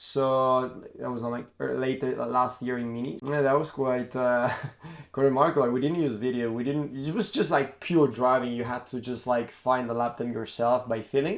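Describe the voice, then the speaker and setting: With an Italian accent, this man talks at a medium pitch with fairly even intonation. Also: moderate pace. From Italy. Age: 20s. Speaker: karting coach and former racing driver. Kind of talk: casual monologue to camera. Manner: halting, many fillers and restarts.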